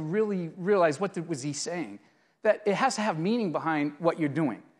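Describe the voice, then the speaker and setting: Speaking in a Boston accent at a fairly quick pace, the voice comes through on a very clean recording with a silent background. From Boston area, US. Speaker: IT executive, customer. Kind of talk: interview at conference. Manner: hesitant, with fillers.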